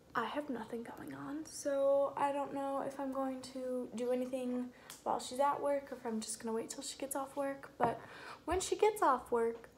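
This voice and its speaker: Over light background noise, a woman speaks at a moderate pace. Her pitch is high, with ordinary variation. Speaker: vlogger. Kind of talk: casual vlog chat. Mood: relaxed, chatty. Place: kitchen. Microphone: phone near.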